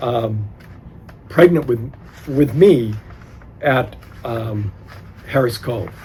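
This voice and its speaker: A man at a medium pitch speaks at a very slow pace, with long, frequent pauses. His pitch varies in an ordinary way over noticeable background noise. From New Hampshire. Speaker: oral history interviewee. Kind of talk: oral history interview. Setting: library. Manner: halting.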